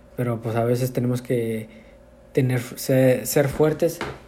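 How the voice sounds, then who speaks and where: A man at a very slow pace and medium pitch, in a monotone, flat intonation. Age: 30s. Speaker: lay preacher. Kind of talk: testimony. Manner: halting.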